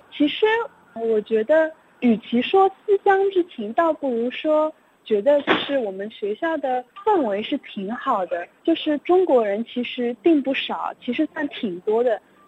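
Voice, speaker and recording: A woman speaks at a high pitch and a fairly slow pace. Her pitch swings very widely over noticeable background noise. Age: young. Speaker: university student. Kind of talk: interview. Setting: phone call.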